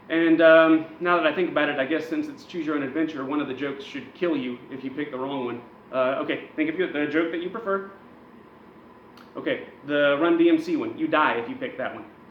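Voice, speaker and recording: The speech moves at a fairly quick pace in an animated tone with ordinary pitch variation, amid noticeable background noise and audible room echo. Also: man, fairly high pitch for a man. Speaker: wrestling news show host. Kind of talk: comedic wrestling news monologue. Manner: loud.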